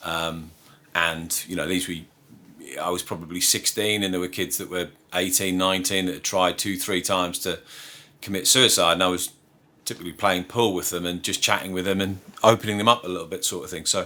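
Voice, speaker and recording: A man with a very deep, low pitch and a bright, sharp tone speaks at a fairly quick pace in a monotone, flat delivery, on a very clean recording with a silent background. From northeast England, Sunderland. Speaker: business executive. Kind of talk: interview. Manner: halting, many fillers.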